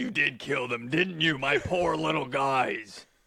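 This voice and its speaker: In a put-on character voice, a man speaks raspily at a fairly slow pace and a fairly high pitch. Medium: actual play. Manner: blunt, simple-minded.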